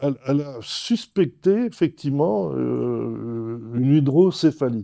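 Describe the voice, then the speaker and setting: This man's tone is dark and mellow. The rise and fall of his pitch is ordinary. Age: 80s+. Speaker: patient. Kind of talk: testimony. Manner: halting, many repetitions and fillers.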